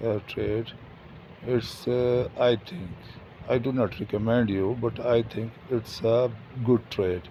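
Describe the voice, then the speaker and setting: This man talks at a fairly slow pace with a non-native accent. His pitch is medium. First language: not English. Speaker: forex trader. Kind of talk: trading tutorial. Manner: halting, many fillers.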